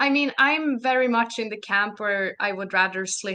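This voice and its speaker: Speaking fairly slowly with a Swedish accent, a woman has a bright, sharp tone and ordinary pitch variation. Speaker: narrative designer and game developer. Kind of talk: podcast interview.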